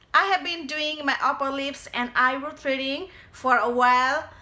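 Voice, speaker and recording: Projecting her voice, a woman with a non-native accent speaks at a fairly slow pace. Her high pitch carries a bright, sharp tone and fairly even intonation. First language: not English. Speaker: beauty tutorial creator. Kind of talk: casual tutorial talk to camera.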